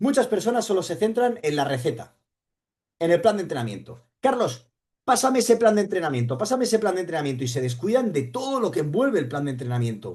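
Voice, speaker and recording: A high-pitched man, animated and very fast, with very wide pitch swings. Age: 40s. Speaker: running coach. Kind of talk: livestream talk.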